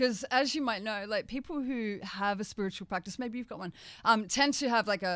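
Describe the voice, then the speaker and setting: With an Australian accent, a woman talks at a moderate pace with ordinary pitch variation on a very clean recording with a silent background. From Australia, Gold Coast, Queensland. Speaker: author and spiritual teacher. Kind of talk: radio interview. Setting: radio studio. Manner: casual, animated.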